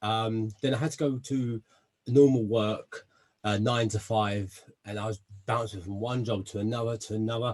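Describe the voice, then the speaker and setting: Somewhat breathy and in a South London accent, the speaker keeps a moderate pace and fairly even intonation. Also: man, medium pitch for a man. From south London, England. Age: 30s. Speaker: army veteran and personal development guest. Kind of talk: interview self-introduction.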